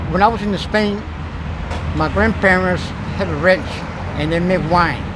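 Noticeable background noise sits behind the audio. A man speaks at a moderate pace with ordinary pitch variation. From Cuba and Spain. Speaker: homeless man. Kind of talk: interview answer. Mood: candid, reflective. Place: street. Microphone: phone near.

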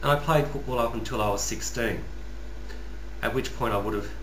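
Noticeable noise sits behind the voice of a man talking. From Western Australia, rural (Northam). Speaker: YouTuber, customer service worker. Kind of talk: personal vlog monologue. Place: home room. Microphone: webcam.

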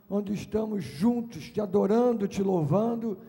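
With a dark, mellow tone, a man speaks at a fairly slow pace in a high pitch with ordinary pitch variation. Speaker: preacher. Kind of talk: sermon scripture reading and prayer. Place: stage. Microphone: handheld.

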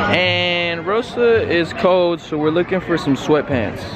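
The speaker is a man. Behind his voice, the background noise is loud. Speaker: vlogger. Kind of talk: casual vlog chat. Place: shop. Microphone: phone near.

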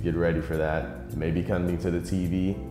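Over clear music in the background, a man with a very deep, low pitch speaks at a moderate pace with ordinary pitch variation. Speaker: podcaster. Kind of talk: interview answer. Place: hall.

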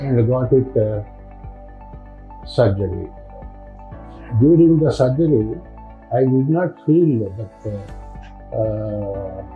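Over faint music in the background, a man speaks at a very slow pace with long, frequent pauses. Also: lively intonation. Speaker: retired college lecturer. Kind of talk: patient testimonial.

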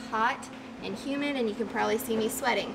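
Over noticeable background noise, a woman talks with fairly even intonation. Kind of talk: tutorial. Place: workshop. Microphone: camera far.

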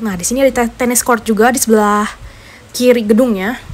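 Pitch moves in an ordinary way. She is a woman speaking at a fairly quick pace. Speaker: campus tour guide vlogger. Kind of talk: casual tour commentary. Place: car.

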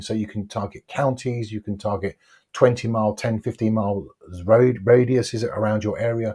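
Over a quiet background, a man talks at a moderate pace with a fairly low pitch, a dark, mellow tone, a somewhat breathy quality and fairly even intonation. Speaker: online ads coach. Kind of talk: tutorial. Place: home room. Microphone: lapel.

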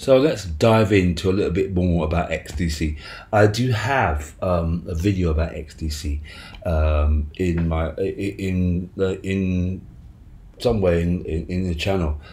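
A man speaks at a very slow pace in a very deep, low pitch with ordinary variation, his dark, mellow tone somewhat breathy amid audible room echo. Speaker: crypto YouTuber. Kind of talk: casual video commentary. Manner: halting, many fillers.

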